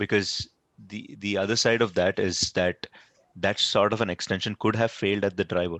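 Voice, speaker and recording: The sound is dry and close with no echo as a man speaks in a fairly low pitch with monotone, flat intonation. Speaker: open-source project meeting lead. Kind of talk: technical meeting discussion. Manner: fast.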